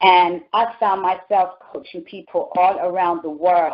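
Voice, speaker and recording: With a British accent, a woman talks in an animated tone at a medium pitch. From London, England. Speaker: talk show host and life coach. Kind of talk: motivational monologue. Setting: phone call.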